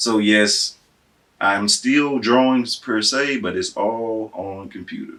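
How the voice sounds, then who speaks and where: With a Southern US accent, a man talks at a very slow pace. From Tennessee. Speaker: civil engineer. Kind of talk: interview answer.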